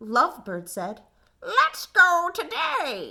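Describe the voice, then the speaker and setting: Putting on a character voice, a woman squeaks at an extremely high pitch with very wide pitch swings. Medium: read story.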